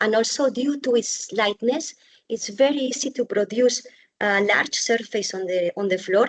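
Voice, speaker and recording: Fairly high-pitched, a woman talks at a moderate pace with ordinary pitch variation in an ordinary speaking voice. The sound is dry and close with no echo. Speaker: bamboo architect and builder. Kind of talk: webinar presentation.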